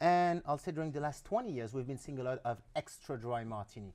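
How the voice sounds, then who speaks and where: On a very clean recording with a silent background, a man with a French accent talks at a fairly quick pace with ordinary pitch variation. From France. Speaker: spirits brand ambassador. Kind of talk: casual TV interview.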